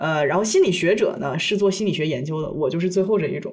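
A somewhat breathy woman's voice at a very fast pace. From China. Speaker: podcast co-host. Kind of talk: casual chat.

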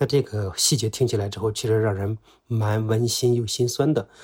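Fairly low in pitch and somewhat breathy, a man speaks with fairly even intonation on a very clean recording with a silent background. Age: middle-aged. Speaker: former investigative journalist. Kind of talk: personal account.

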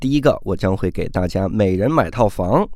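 A man speaks at a moderate pace. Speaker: stand-up comedian and podcast host. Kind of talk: promotional announcement.

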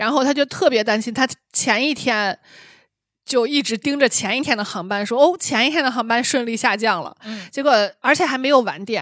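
At a fairly quick pace, the speaker uses ordinary pitch variation on a very clean recording with a silent background. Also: woman, high pitch for a woman. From Shanxi. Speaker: podcast host. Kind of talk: casual chat.

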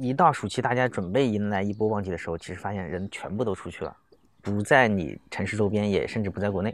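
This man's voice sits fairly low. He talks very fast, and his pitch moves in an ordinary way. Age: young. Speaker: rural resort manager. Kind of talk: casual chat. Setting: outdoors.

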